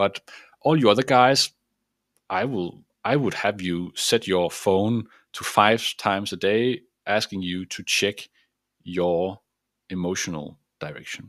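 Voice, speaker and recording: A man with a Danish accent, fairly low pitch and ordinary pitch variation, a fairly slow pace with long, frequent pauses, on a very clean recording with a silent background. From Denmark. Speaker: mindset coach. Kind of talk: motivational talk.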